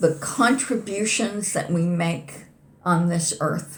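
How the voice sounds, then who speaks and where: The voice sounds somewhat breathy. Audible room echo surrounds it. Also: woman. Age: 70s. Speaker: poet. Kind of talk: interview conversation.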